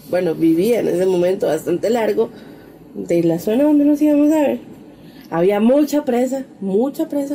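A woman's voice with very wide pitch swings. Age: 30s. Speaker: podcast co-host. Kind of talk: casual chat.

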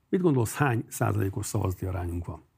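A man with a dark, mellow tone sounds somewhat breathy, and his intonation is lively. The recording is very clean, with a silent background. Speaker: mayor and cardiologist. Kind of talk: political interview. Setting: studio.

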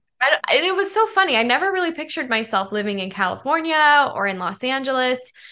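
Against a quiet background, a raised, projected voice with a bright, sharp tone and an American accent races at a very fast pace with very wide pitch swings and hardly any pauses. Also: woman, high pitch for a woman. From Colorado. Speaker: pop singer-songwriter. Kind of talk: interview.

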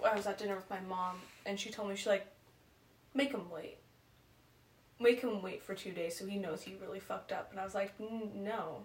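A woman's medium-pitched voice, fairly quick yet broken by long, frequent pauses, with fairly even intonation over noticeable background noise. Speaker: podcast co-host. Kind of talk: casual chat among friends.

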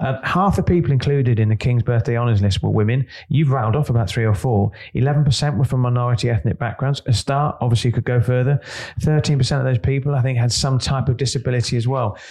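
The pace is very fast and the loudness very even. The voice is somewhat breathy, with ordinary pitch variation. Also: man, medium pitch for a man. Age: 50s. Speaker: podcast co-host, business editor. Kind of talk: casual chat.

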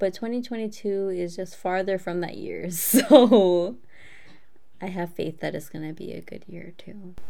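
At a fairly slow pace, a woman with a medium pitch and ordinary pitch variation speaks with big swings in loudness, and audible room echo surrounds her voice. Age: 20s. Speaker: podcast co-host. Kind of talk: casual chat. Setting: video call.

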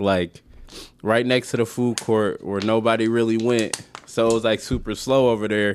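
At a medium pitch, a man speaks at a moderate pace in a monotone, flat intonation. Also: very even loudness. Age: 20s. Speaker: comic book creator and filmmaker. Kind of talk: casual interview.

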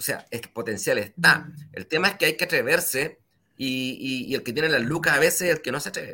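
Speaking at a fairly quick pace, a man with a fairly high pitch uses lively intonation, his bright, sharp tone touched by vocal fry. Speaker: show host. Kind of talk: interview.

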